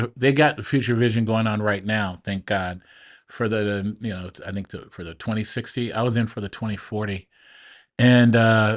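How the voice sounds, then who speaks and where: In a quiet background, a man talks at a moderate pace with fairly even intonation. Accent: Pacific Northwest. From Portland, Oregon. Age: 60s. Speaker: business owner and military veteran. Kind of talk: casual interview conversation.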